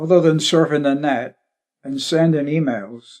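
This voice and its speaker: In a West Country accent, a man with a fairly high pitch and a dark, mellow tone speaks at a moderate pace against a quiet background. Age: 70s. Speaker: retired shipwright. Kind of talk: documentary interview narration.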